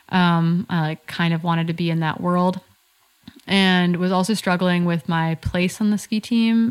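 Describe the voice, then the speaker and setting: With an American accent, a woman uses a normal speaking voice at a fairly low pitch. Her intonation is fairly even, and the recording is very clean with a silent background. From US Midwest (northern Wisconsin). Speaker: ultrarunner and running coach. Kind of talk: casual interview chat.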